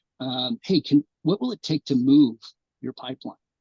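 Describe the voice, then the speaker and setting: The speaker talks at a fairly quick pace with ordinary pitch variation and vocal fry. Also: man. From Alaska, Anchorage. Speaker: oil company public affairs presenter. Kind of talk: presentation at community meeting. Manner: fast.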